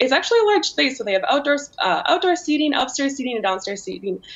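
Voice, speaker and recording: A woman talks at a very fast pace. Her pitch swings very widely. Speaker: remote guest. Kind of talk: interview answer. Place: home room. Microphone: video call.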